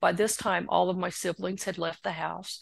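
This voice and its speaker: A woman's voice over a quiet background. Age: 60s. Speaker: author. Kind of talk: interview answer.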